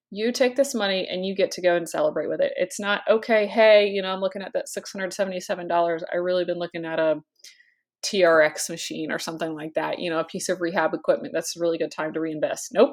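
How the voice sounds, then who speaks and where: Speaking at a very fast pace, a woman talks at a medium pitch. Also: ordinary pitch variation. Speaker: chiropractor and business finance coach. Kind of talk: casual video talk to camera. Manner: many fillers, conversational.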